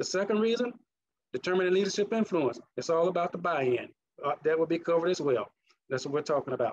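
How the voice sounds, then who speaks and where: Speaking very fast with a Mississippi accent, a man uses a high pitch and lively intonation. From US South, Mississippi. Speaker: leadership trainer and conference speaker. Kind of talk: conference presentation.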